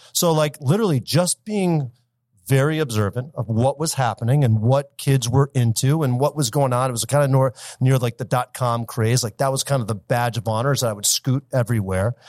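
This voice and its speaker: Recorded very cleanly against a silent background, with a dry, close sound and no echo, a man with a US Midwestern accent speaks at medium pitch and a fairly quick pace, using ordinary pitch variation. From Michigan, US (Detroit area). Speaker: marketing company founder. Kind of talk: interview.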